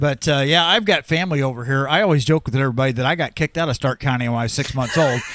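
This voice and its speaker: In a dry, close sound with no echo, a man with a Midwestern US accent speaks very fast with hardly any pauses, at a fairly high pitch with ordinary variation. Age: 70s. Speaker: radio sports broadcaster. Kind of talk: casual chat.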